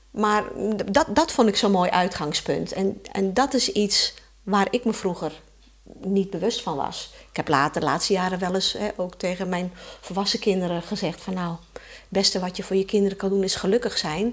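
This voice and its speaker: At a moderate pace, a woman uses an ordinary speaking voice in a medium pitch with ordinary pitch variation. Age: 60s. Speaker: mother of four. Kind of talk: casual chat.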